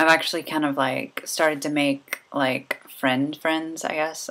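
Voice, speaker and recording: A woman speaks in a flat monotone at a moderate pace. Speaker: vlogger. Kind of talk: casual video diary. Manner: hesitant, many fillers.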